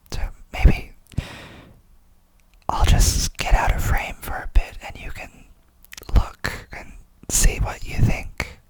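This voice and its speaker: A man is whispering. Noticeable background noise runs beneath him. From United States. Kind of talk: ASMR channel introduction. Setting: indoors at night, apartment. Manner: whispered.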